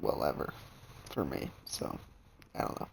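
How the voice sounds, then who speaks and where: At a moderate tempo, a man talks in a quiet voice. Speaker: gaming streamer. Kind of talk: let's play commentary. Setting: alone at home recording. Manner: soft-spoken.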